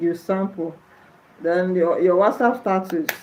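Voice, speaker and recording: A woman speaks with a Nigerian accent at a medium pitch. Her pace is moderate. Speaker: nurse and livestreamer. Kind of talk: livestream chat with viewers.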